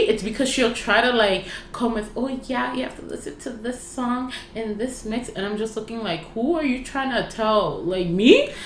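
Noticeable background noise surrounds a woman's fairly high voice. She speaks with a Toronto accent. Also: ordinary pitch variation, moderate pace. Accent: Toronto Canadian English. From Canada, Toronto (Rexdale). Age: 20s. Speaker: podcast co-host. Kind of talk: casual chat.

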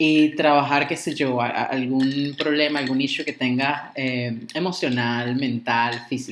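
Over noticeable background noise, a man speaks at a medium pitch with fairly even intonation. His pace is fairly slow, with hardly any pauses. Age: 20s. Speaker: podcast co-host, tarot and astrology practitioner. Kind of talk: casual chat. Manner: halting, repeats words.

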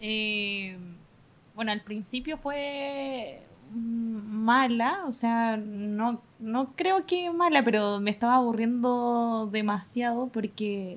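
A woman's very slow, fairly high-pitched speech with ordinary pitch variation, in a Chilean accent. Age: 20s. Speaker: university staff worker. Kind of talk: casual chat. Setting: video call.

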